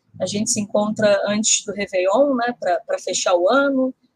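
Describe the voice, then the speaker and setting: A woman speaks at a fairly high pitch and moderate pace in an unremarkable speaking voice. The sound is dry and close, with no echo. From Rio de Janeiro, north zone. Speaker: podcast co-host. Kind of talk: casual political discussion.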